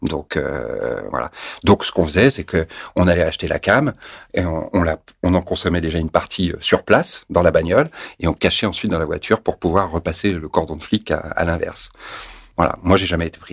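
A man's rather quick speech comes through dry and close, with no echo. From France (Paris), teen years in Tunisia. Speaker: actor and former TV news presenter. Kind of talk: interview, personal testimony.

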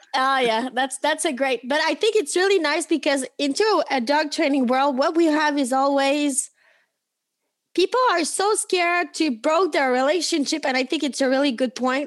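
With a strong French accent, a woman speaks at a moderate pace in a high pitch, using ordinary pitch variation and very even loudness. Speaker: podcast host. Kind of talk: casual chat.

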